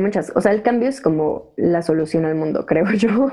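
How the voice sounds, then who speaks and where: Music plays in the background as a woman speaks. Her pace is moderate and her pitch swings very widely. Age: 20s. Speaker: event organizer for women. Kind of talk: interview. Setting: remote recording. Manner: casual slangy. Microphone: audio problems.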